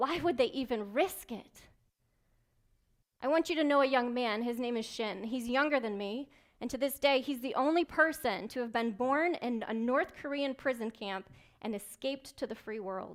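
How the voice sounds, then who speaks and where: A woman's high-pitched voice comes through a very clean recording against a silent background. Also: ordinary pitch variation, moderate pace. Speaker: keynote speaker, military intelligence officer. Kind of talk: motivational keynote speech. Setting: live event, banquet room. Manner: dynamic, humorous, direct.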